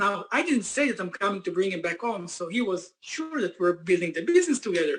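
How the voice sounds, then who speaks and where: Speaking fairly quickly with hardly any pauses, a man with a non-native accent uses a high pitch and lively intonation. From Israel. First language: Hebrew. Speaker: company founder and CEO. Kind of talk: motivational business presentation. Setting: conference call.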